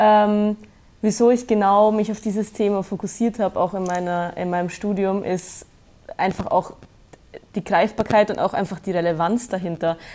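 At a moderate pace, a woman speaks in a medium-pitched voice with a dark, mellow tone and fairly even intonation. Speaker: student. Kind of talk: interview. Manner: hesitant.

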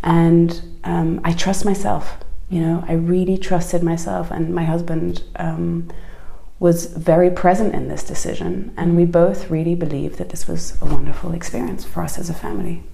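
A woman talks at a moderate speed with room echo audible and background noise noticeable. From southern France. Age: 40s. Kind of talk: casual chat.

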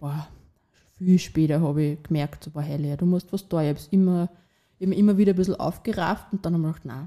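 The voice has a dark, mellow tone and races along very fast, with big swings in loudness. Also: woman, fairly low pitch for a woman, fairly even intonation. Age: 20s. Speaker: young mother sharing her story. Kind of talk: personal testimony in a conversation. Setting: at a host's home, around a table.

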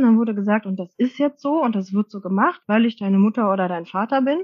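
A woman with a somewhat breathy, medium-pitched voice talks at a fairly quick pace with ordinary pitch variation. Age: 40s. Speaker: social worker and parenting coach. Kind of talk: interview.

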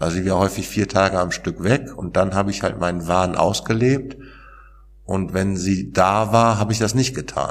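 A man speaks at a moderate pace. His pitch is fairly low with ordinary variation. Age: 40s. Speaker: author and peer recovery worker. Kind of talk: interview about personal experience. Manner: hesitant, many fillers.

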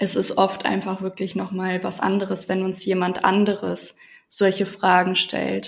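A woman speaks at a fairly slow pace with vocal fry. Her intonation is monotone and flat. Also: medium pitch for a woman. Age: 20s. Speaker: self-love coach. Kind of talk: casual interview.

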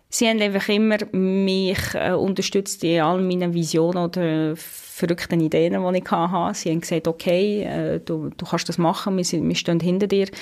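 A woman's fairly low, monotone, flat voice at a moderate pace on a very clean recording with a silent background. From western Switzerland (Romandy). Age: 30s. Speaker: space expert. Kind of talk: interview. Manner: hesitant fillers.

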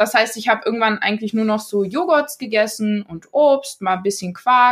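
Recorded very cleanly against a silent background, a woman with an ordinary speaking voice talks at a fairly high pitch with ordinary pitch variation. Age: 20s. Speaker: trained teacher and influencer sharing eating disorder story. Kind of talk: casual interview.

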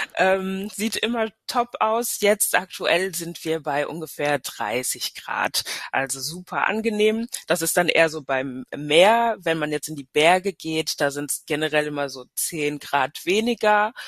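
At a very slow pace, a woman with a fairly low pitch uses lively intonation, the sound dry and close with no echo. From Hesse and Paris, German-French upbringing. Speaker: tourism destination marketing manager. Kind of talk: casual interview.

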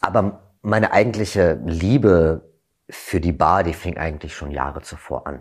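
A man's very deep, low pitch with ordinary pitch variation, on a very clean recording with a silent background. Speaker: gin brand ambassador, former bartender and actor. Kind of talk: interview, storytelling.

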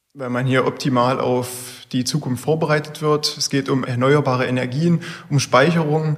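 A man's fairly high voice, monotone and flat, at a moderate pace over noticeable background noise. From Saxony-Anhalt (Bernburg). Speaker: engineering student. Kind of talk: interview.

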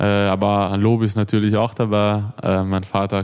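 With a slight Viennese accent, a man speaks at a fairly low pitch in monotone, flat intonation. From Austria, Vienna. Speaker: handball player. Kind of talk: interview.

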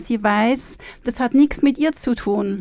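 This woman has a high pitch. Her pitch varies in an ordinary way. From Switzerland. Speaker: counsellor and coach, former cellist. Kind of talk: interview. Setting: studio.

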